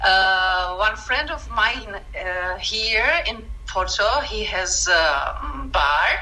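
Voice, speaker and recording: Very slow speech comes through audible room echo and noticeable background noise. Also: woman. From Czech Republic. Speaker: caricature artist, former art teacher. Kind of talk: casual interview. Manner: halting, many self-corrections.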